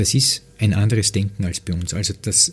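A somewhat breathy man at a fairly low pitch and moderate pace. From Lower Austria, near Wiener Neustadt. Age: 50s. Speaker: football pundit and former coach. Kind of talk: interview conversation.

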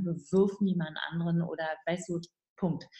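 At a moderate pace, a woman speaks with a somewhat breathy, fairly low-pitched voice. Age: 50s. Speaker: midwife and relationship author. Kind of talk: interview.

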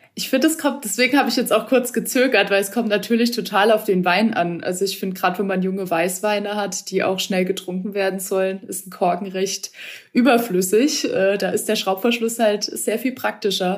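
A woman speaks at a fairly quick pace with hardly any pauses. Hers is an unremarkable speaking voice of medium pitch and ordinary pitch variation. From Baden, Ortenau (southwest Germany). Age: 20s. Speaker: winemaker, former wine queen. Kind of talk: interview.

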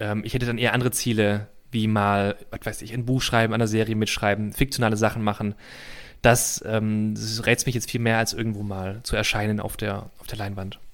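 In a very clean recording with a silent background, a man talks at a fairly quick pace. His pitch is fairly low and his intonation monotone and flat. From Heidelberg, Baden-Württemberg. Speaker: comedy writer. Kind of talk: casual interview chat.

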